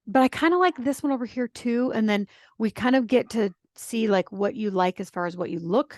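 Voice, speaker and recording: This woman's voice is fairly high in pitch, with lively intonation. The sound is dry and close, with no echo. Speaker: style coach. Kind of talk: interview. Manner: fast.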